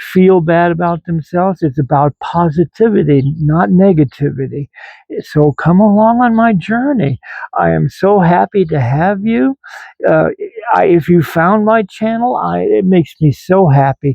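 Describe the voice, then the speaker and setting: Lively in intonation, a man with a high pitch talks at a moderate pace. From Germany, raised in US from 1957. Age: 70s. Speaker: retired veteran and lifestyle vlogger. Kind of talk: casual vlog chat. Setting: outdoors in garden. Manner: halting, many fillers.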